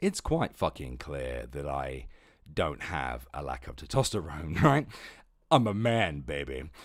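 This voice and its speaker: Putting on a character voice, a man goes very deep and low, raspy and fairly slow, with lively intonation and big swings in loudness. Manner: exaggerated, macho.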